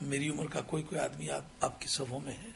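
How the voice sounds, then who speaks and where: There is audible room echo around a man's voice. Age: 60s. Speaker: Islamic scholar, preacher. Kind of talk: sermon.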